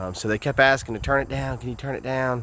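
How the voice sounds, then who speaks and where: With a Southern US accent, this voice moves at a fairly quick pace with ordinary pitch variation. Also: man. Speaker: singer-songwriter vlogger. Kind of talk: vlog. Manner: casual, animated.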